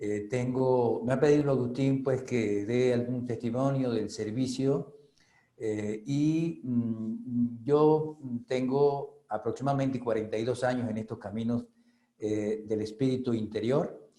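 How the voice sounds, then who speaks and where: Very slowly and with fairly even intonation, a man talks at a medium pitch in a dark, mellow tone. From Venezuela. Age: 60s. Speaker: spiritual reader and author. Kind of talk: testimony. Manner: halting, many fillers.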